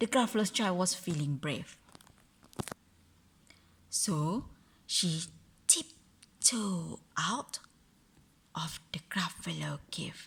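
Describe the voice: At a very slow pace and with long, frequent pauses, the voice has a fairly bright tone, a husky, rough edge, vocal fry and lively intonation. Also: woman, fairly low pitch for a woman.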